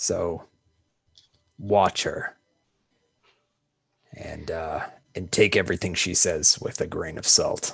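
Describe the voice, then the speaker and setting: A man puts on a raspy character voice, speaking fairly slowly with long, frequent pauses. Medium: actual play. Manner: low-key, conspiratorial.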